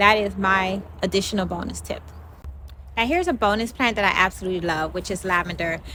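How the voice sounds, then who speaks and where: Her tone is bright and sharp, her pitch medium with ordinary variation. The woman speaks at a fairly quick pace. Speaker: home gardening channel co-host. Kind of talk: casual gardening tutorial.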